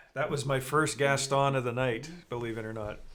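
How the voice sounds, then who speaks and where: In a flat monotone, a man with a fairly high pitch speaks amid audible room echo. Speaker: live stream show host. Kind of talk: casual live stream chat.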